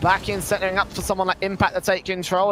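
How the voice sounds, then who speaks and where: The man speaks at a high pitch. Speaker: esports play-by-play caster. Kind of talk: live commentary. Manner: fast; animated.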